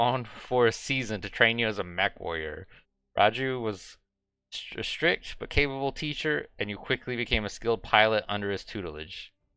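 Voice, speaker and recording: Bright, sharp tone from a man at a medium pitch, moderate pace and lively intonation, over a quiet background. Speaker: gaming streamer. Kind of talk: live game streaming with read-aloud story text. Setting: live stream.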